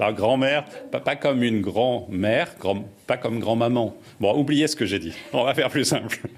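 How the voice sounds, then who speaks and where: A man with a southern French accent speaks at medium pitch and a moderate pace. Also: ordinary pitch variation. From southern France.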